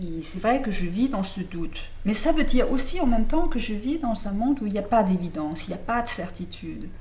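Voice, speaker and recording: With noticeable background noise and audible room echo, a woman speaks at a fairly quick pace, her fairly high pitch making very wide swings. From Denmark. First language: Danish (speaking French). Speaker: novelist. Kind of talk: interview. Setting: apartment in Paris. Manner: halting.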